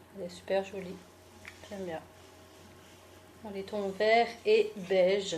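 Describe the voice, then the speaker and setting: A woman speaks at a very slow pace in a monotone, flat delivery, with long, frequent pauses. Her loudness swings widely, and noticeable background noise runs underneath. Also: medium pitch for a woman. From France, Alsace (Mulhouse). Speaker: beauty and fashion YouTuber. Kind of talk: fashion haul video. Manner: casual, chatty.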